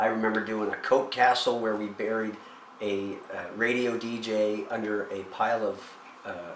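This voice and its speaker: A man with a Maritime Canadian accent speaks at a fairly low pitch in a monotone, flat intonation. Audible room echo and noticeable background noise come through. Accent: Canadian (Maritimes). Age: 50s. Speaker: person living with cystic fibrosis. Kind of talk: personal testimony interview. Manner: halting, repeats words.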